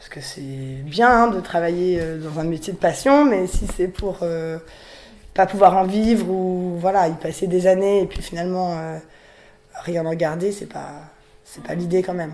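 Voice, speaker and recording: Her loudness swings widely as this woman talks at a fairly slow pace, with a medium pitch and ordinary pitch variation. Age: 20s. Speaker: riding school owner, young farmer. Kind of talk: interview testimony. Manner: hesitant, many fillers.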